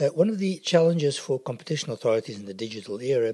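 A normal speaking voice from a man at a fairly quick pace, with lively intonation. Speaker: podcast interviewer. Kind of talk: interview questions.

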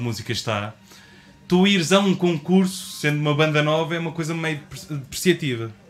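A man talks with a European Portuguese accent. Music plays in the background. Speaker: podcast co-host. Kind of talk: casual chat.

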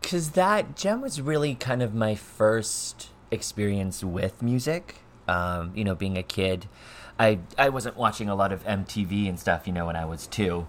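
A man talks with an American accent in a normal speaking voice. His pace is fairly slow and his pitch fairly low. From US, Montana. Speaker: singer-songwriter. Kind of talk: casual interview.

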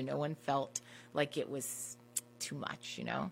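Female speaker, American accent. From Washington DC. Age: 30s. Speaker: wine professional. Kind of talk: casual interview chat.

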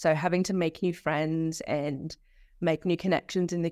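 Speaking in an Australian accent with a very deep, low pitch, a woman keeps fairly even intonation at a moderate pace on a very clean recording with a silent background. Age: 20s. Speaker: social work student. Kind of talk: casual interview.

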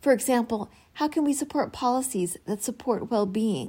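A woman has a plain, everyday voice with a fairly high pitch and a moderate pace. Her recording is very clean, with a silent background. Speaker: podcast host. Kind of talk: interview. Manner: scripted, clear.

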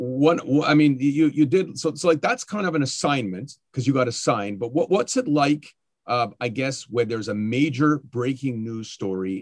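With a Canadian accent and an ordinary speaking voice, a man talks at a fairly quick pace, fairly high in pitch with lively intonation, against a quiet background. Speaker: podcast host and school board communications worker. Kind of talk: interview conversation.

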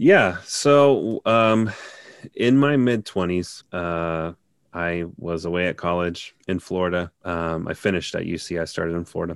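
A man's very deep, low voice in a Midwestern American accent, at a fairly slow pace with ordinary pitch variation. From Cincinnati, Ohio. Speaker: linguist. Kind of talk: casual interview.

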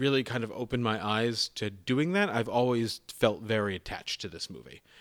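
A plain, everyday voice at a moderate pace. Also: man. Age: 30s. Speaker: film podcast co-host. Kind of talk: casual chat.

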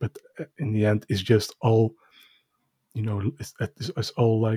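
A man with a Dutch accent at a medium pitch, somewhat breathy and dark, mellow in tone, at a fairly slow pace with long, frequent pauses, in a dry, close sound with no echo. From Netherlands. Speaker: podcast co-host, card collector. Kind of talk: casual chat. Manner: halting.

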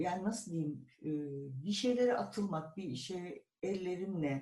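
The voice belongs to a man. His pitch is high. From Turkey, İzmir. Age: 60s. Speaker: publisher and translator. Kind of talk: oral history interview.

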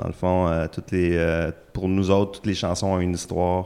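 In a very clean recording with a silent background, a man with a very deep, low pitch speaks slowly in a Quebec accent. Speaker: musician, guitarist. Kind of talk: casual interview chat.

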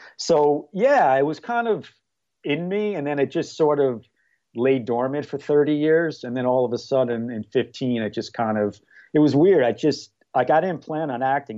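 With an American accent, a man speaks at a moderate pace in an unremarkable speaking voice, medium in pitch, with ordinary pitch variation. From New York. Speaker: amateur screenwriter and actor. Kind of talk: casual interview.

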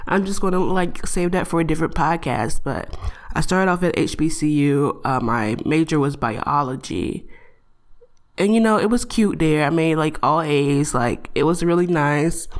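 A woman's very deep, low voice, animated in tone, with very even loudness, ordinary pitch variation, and a fairly slow pace. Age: 20s. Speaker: podcast host. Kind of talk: casual solo monologue. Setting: home recording.

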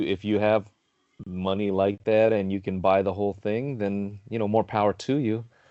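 A man with a Southern Californian accent. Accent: Southern California American. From Carson, Los Angeles area, California. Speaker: DJ and former radio DJ. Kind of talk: casual interview chat.

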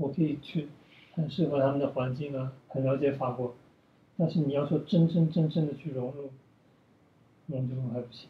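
A man with a fairly high pitch and fairly even intonation at a moderate pace, with long, frequent pauses and big swings in loudness. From China. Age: 30s. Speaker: ballet dancer. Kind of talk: casual chat. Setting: at home.

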